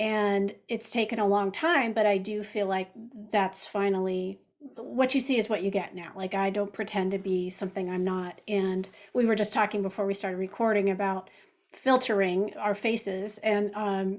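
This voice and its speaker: Using an unremarkable speaking voice, a woman talks at a moderate pace and medium pitch with fairly even intonation. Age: 60s. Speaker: podcast host and cookbook author. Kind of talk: interview conversation.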